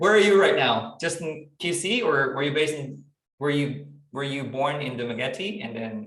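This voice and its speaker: Fairly quick talk with lively intonation and audible room echo. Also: man. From Philippines, Iloilo (Western Visayas). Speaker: community meeting host. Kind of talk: online community meeting. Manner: code-switching English and Tagalog.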